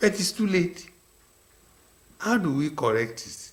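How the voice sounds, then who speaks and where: A man speaks at a fairly slow pace with very wide pitch swings. Noticeable background noise runs underneath. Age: 80s+. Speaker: maritime industry veteran. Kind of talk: radio interview.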